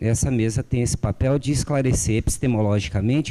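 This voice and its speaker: A man's dark, mellow voice sits at a medium pitch, his intonation lively. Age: 40s. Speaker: geography professor. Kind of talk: academic conference talk. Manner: halting with fillers.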